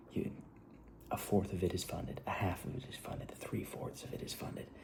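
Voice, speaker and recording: A man speaks quietly in a dark, mellow tone with some breathiness. Room echo is audible around him. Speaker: filmmaker vlogger. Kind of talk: casual vlog monologue. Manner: fast, halting.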